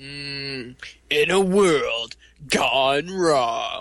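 A man performs in a put-on character voice. The voice is clearly an act. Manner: grand, mock-epic.

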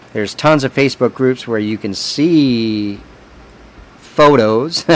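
Against noticeable background noise, a man speaks at a medium pitch with ordinary pitch variation. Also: long, frequent pauses. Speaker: podcast host. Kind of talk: casual interview chat. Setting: video call.

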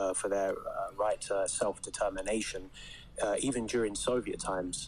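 Speaking at a fairly quick pace, a man has a British accent. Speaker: audience caller on live podcast. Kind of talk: argumentative, formal debate style.

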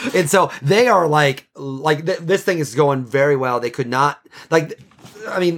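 A normal speaking voice carries lively intonation. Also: man. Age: 40s. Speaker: podcast host and novelist. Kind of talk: interview as guest on own show, casual.

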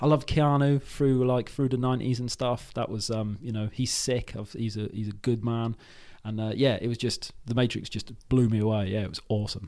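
A man speaks at a fairly quick pace. His tone is dark and mellow, and his intonation stays fairly even. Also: medium pitch for a man. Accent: British. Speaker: podcaster. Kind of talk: casual chat.

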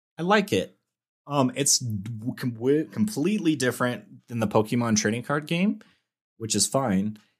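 A man with an unremarkable speaking voice talks at a moderate pace and medium pitch with lively intonation, recorded very cleanly over a silent background. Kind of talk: casual chat.

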